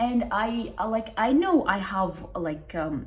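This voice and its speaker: With a non-native accent, a woman speaks at a very slow pace in a space with audible room echo. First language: not English. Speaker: self-help video creator. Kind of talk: casual monologue to camera. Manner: halting, many restarts and fillers.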